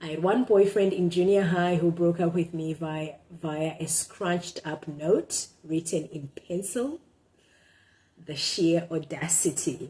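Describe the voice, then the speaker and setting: A woman talks at a fairly slow pace with a Zimbabwean accent, her pitch fairly low and her intonation fairly even. Her tone is dark and mellow, and somewhat breathy. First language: Shona. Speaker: blogger. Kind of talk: casual monologue; reading aloud and commentary. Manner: halting, many fillers.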